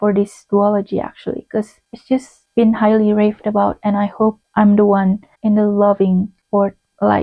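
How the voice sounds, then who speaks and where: A fairly high-pitched woman with a non-native accent and flat, monotone intonation. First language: not English. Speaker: booktuber. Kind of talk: casual monologue video. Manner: conversational with fillers and self-corrections.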